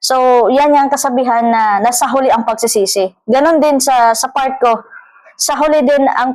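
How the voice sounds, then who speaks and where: A woman with fairly even intonation. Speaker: vlogger. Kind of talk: casual monologue vlog. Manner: halting, many fillers and repeats.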